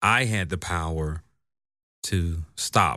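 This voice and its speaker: On a very clean recording with a silent background, a man speaks with a very deep, low pitch and a bright, sharp tone. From US South, Atlanta. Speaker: counseling professor and therapist. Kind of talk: interview.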